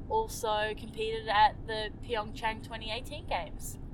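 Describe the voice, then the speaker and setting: In a New Zealand accent, a woman speaks at a fairly high pitch and fairly slow pace with fairly even intonation. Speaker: Olympic skier. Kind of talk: casual interview.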